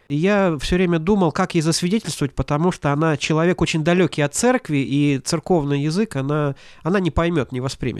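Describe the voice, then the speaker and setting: A man speaks in an ordinary speaking voice, fairly high-pitched, at a moderate pace with ordinary pitch variation. The recording is very clean with a silent background and has a dry, close sound with no echo. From Latvia, Ventspils. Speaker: pastor and seminary teacher. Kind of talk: interview.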